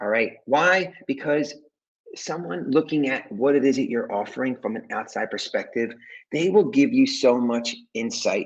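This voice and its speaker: A man's fairly high pitch in very wide pitch swings, at a moderate pace. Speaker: business coach. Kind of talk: direct-to-camera talk. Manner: casual, filler-heavy.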